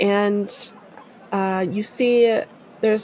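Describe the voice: Fairly even intonation in plain reading aloud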